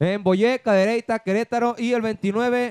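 The recording is dry and close with no echo, and the man speaks at a high pitch. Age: 20s. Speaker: singer. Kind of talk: casual chat.

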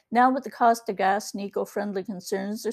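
An unremarkable speaking voice from a woman, fairly even in intonation, on a very clean recording with a silent background. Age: 60s. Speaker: podcast host and ebook author. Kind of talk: personal opinion monologue.

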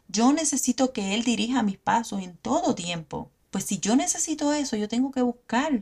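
Her intonation lively, a woman with a plain, everyday voice speaks at a fairly high pitch. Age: 40s. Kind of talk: devotional teaching monologue.

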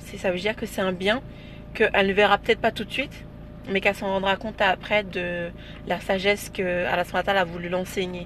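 Fairly quick yet broken by long, frequent pauses, a woman's medium-pitched voice keeps a monotone, flat intonation. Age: 20s. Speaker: interview guest. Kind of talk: casual interview. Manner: hesitant, many fillers.

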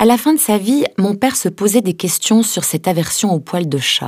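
Lively intonation carries along at a moderate pace. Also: woman. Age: 40s. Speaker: letter writer reading her own letter. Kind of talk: reading aloud.

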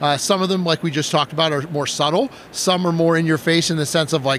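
Speech rushes by very fast as noticeable background noise carries on beneath it. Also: man. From Wisconsin. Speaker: game designer and art school director. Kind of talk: casual interview. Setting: live at a game convention.

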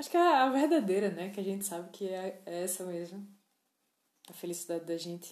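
A woman speaks with a northeastern Brazilian accent at a fairly quick pace. Her pitch variation is ordinary. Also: medium pitch for a woman. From Northeast Brazil, João Pessoa. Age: 20s. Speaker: podcaster. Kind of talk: casual monologue. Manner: hesitant, many fillers.

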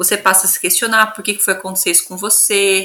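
A woman's voice at a medium pitch. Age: 30s. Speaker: geographer and researcher, mother. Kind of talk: interview.

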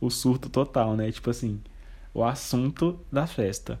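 A man speaks in an ordinary speaking voice at medium pitch with fairly even intonation. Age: 20s. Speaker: podcaster. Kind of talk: personal storytelling monologue.

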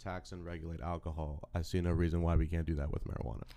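Speaking fairly quickly, a man uses a very deep, low pitch and a dark, mellow tone touched with vocal fry. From Louisiana, Baton Rouge. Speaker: political candidate. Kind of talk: casual chat.

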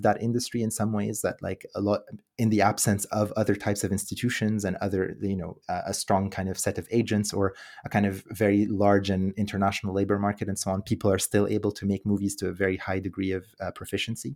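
A man talks at a very fast pace in a fairly low pitch. His intonation is monotone and flat on a very clean recording with a silent background. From Quebec (Montreal), born in Egypt. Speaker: academic researcher on cinema. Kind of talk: interview. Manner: hesitant, with many fillers and repetitions.

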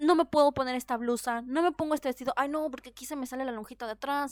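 Her tone animated and her pitch high, a woman speaks at a fairly quick pace in a dry, close sound with no echo. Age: 30s. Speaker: podcast host. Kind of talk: solo podcast monologue.

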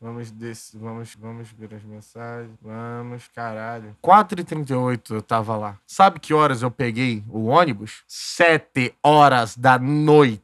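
At a very slow pace, a man speaks with medium pitch in a very clean recording with a silent background. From Duque de Caxias, Rio de Janeiro, Brazil. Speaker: podcast host. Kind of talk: casual monologue storytelling. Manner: animated.

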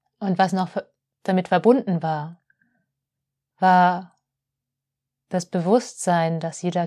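This woman's tone is dark and mellow, and she talks at a very slow pace. The sound is dry and close, with no echo. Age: 30s. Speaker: spiritual podcast host, holistic healer. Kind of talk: reflective monologue.

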